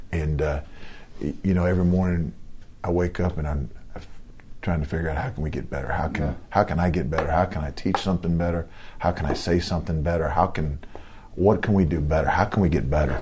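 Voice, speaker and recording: Speaking at a very fast pace with a very deep, low pitch, a man uses fairly even intonation and takes long, frequent pauses. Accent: Southern US. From US South, Georgia (Lawrenceville). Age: 50s. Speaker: college football defensive coordinator. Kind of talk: interview. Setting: office.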